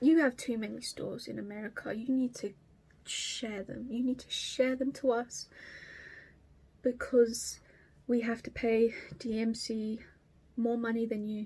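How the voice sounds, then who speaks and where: A woman with an Estuary accent speaks at a fairly high pitch in a dark, mellow tone, with monotone, flat intonation. Her loudness swings widely, and she leaves long, frequent pauses. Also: fairly slow pace. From southeast England, Kent. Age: 20s. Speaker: cross stitch vlogger. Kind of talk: casual vlog chat. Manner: hesitant.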